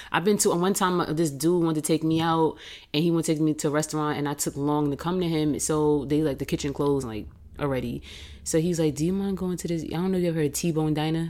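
A woman's very deep, low voice with a New York accent, a dark, mellow tone, fairly even intonation and a very fast pace, on a very clean recording with a silent background. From Queens, New York. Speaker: entrepreneur. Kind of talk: casual chat.

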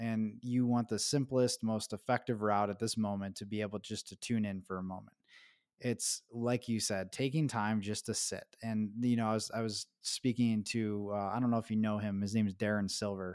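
Fairly low male speech with monotone, flat intonation at a moderate pace, dry and close with no echo, in a very clean recording over a silent background. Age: 30s. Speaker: podcast host, men's coach. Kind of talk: scripted intro and promo; interview conversation.

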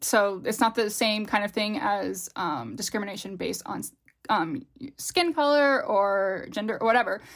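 A woman's unremarkable speaking voice with a fairly high pitch and lively intonation, at a fairly slow pace, on a very clean recording with a silent background. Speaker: linguist and research scientist. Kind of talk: casual chat.

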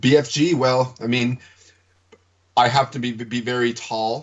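A man at a fairly slow pace, with fairly even intonation. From Newfoundland, Canada. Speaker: podcast co-host, film school graduate. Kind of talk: casual literary discussion. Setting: remote recording from home study. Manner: halting, many repetitions and fillers.

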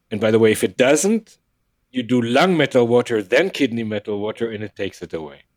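A man speaks with a non-native accent at a medium pitch. His intonation is lively, his pace fairly quick, and the sound is dry and close with no echo. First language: not English. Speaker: acupuncturist with emergency medicine background. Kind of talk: interview conversation. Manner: animated.

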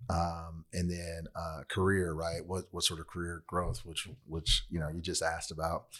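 With a bright, sharp tone and a monotone, flat intonation, the voice runs on with hardly any pauses. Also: man, very deep, low pitch for a man, moderate pace. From Southern California, Long Beach. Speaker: human resources professional. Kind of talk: casual interview. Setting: studio. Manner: calm, laid-back.

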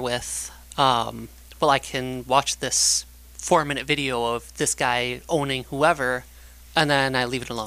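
A man speaks with a bright, sharp tone at medium pitch. Vocal fry runs through his voice. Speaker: guest. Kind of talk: casual chat.

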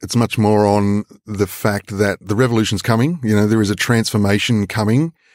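In a very clean recording with a silent background and a dry, close sound with no echo, a man speaks fairly quickly at a fairly low pitch in a plain, everyday voice with very even loudness. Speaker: climate activist and presenter. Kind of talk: panel interview.

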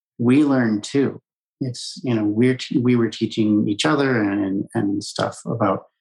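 A man talks at a moderate pace in a medium pitch, with fairly even intonation. He has a plain, everyday voice. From Colorado, US. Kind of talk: interview.

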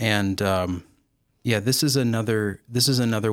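A man with a plain, everyday voice, ordinary pitch variation and a moderate pace, on a very clean recording with a silent background. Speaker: theology professor. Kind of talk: casual interview chat. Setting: studio.

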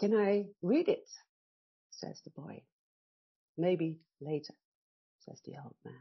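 Very slow and broken by long, frequent pauses, a woman's fairly low voice shows ordinary pitch variation and big swings in loudness. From Netherlands. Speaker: storyteller. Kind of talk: bedtime story telling, a gentle, unhurried tale spoken in a soothing, dreamy voice. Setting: radio show. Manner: slow, soft, warmly expressive, with counted beats and voices for characters.

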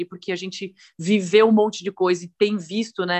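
The woman has an ordinary speaking voice and medium pitch. She keeps a moderate pace. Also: dry, close sound with no echo. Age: 30s. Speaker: professional cyclist. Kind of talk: interview.

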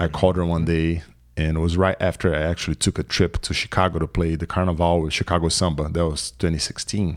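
A man with a Portuguese accent talks very fast in a very deep, low voice. His intonation is monotone and flat, and the recording is very clean with a silent background. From Brazil, São Paulo. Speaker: musician. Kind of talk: casual chat.

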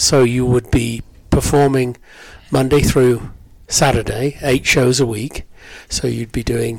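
A man with an English accent, medium in pitch, with monotone, flat intonation. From England, Cheltenham area (West Country). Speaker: theatre director. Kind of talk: interview.

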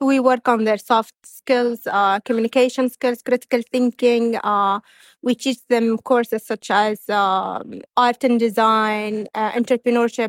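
In a very clean recording with a silent background, a woman with an Arabic accent speaks at a fairly slow pace in a fairly high pitch, her intonation monotone and flat, the sound dry and close with no echo. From Saudi Arabia. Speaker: university provost. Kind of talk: interview. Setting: conference venue.

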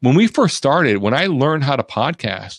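With an ordinary speaking voice, a man talks at a fairly quick pace in a dry, close sound with no echo and a quiet background. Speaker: TV production professional and live video producer. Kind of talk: casual interview chat. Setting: live online video show.

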